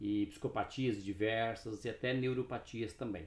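A man talks in a normal speaking voice, medium in pitch, with a moderate pace and fairly even intonation. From Brazil, Paraná (Cascavel). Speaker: neuroscientist and health product entrepreneur. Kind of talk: casual interview chat.

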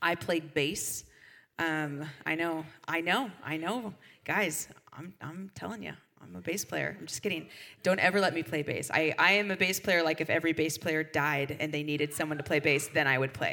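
A woman with a very deep, low pitch and a bright, sharp tone speaks in an animated way at a moderate pace, with ordinary pitch variation and big swings in loudness. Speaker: youth pastor. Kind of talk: sermon.

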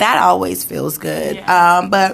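There is noticeable background noise behind this woman's voice. She speaks fairly slowly at a fairly low pitch. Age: 30s. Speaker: podcast co-host. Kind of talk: casual chat.

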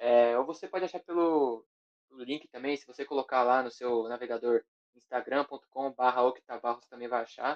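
A man with an unremarkable speaking voice talks at a moderate pace and medium pitch, his intonation fairly even but his loudness swinging widely. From Guarulhos, São Paulo, Brazil. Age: young. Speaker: rapper. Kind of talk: casual chat.

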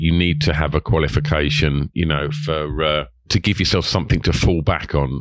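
A man with an Essex accent speaks in a very deep, low voice with vocal fry. His intonation stays fairly even. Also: moderate pace. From Essex, England. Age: 40s. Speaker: podcaster and club promoter. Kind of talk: casual interview. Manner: halting, repeats words.

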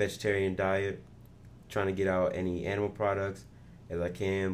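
A man with a New Orleans accent speaks in a fairly low pitch at a moderate pace. Audible room echo is present. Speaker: podcast host. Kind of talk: interview. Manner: casual, laid-back.

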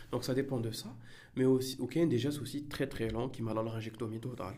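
A man's dark, mellow voice with fairly even intonation and audible room echo. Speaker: ENT doctor. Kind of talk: casual interview. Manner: halting.

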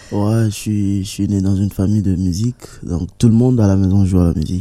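Ordinary pitch variation moves through a dark, mellow tone. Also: man. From Togo. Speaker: jazz musician and singer. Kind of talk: radio interview. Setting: studio. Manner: halting.

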